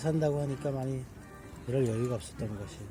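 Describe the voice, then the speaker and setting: A man talking at a fairly quick pace with ordinary pitch variation, music playing in the background. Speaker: election candidate (minor left-wing party). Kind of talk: casual conversational talk beside a campfire.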